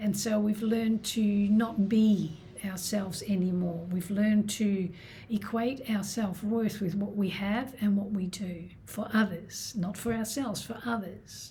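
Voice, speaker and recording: This is a plain, everyday voice. The woman speaks at a medium pitch. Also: fairly even intonation. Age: 60s. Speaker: self-love and healing coach. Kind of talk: self-help talk to camera.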